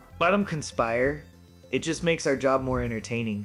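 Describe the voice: Faint music plays behind a man doing a put-on character voice, nasal and at medium pitch, with lively intonation and a moderate pace.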